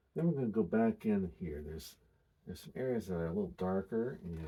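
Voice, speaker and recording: A man's whisper, somewhat breathy. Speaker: painting instructor. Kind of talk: tutorial. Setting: quiet room, studio. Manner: whispering.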